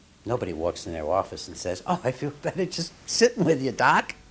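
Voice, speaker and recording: A somewhat breathy man at a moderate pace. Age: 70s. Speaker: psychiatrist. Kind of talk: documentary interview.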